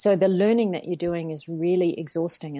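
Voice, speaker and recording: A woman's fairly low voice in a New Zealand accent, fairly quick in pace and fairly even in intonation. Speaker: organizational psychologist. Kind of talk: interview.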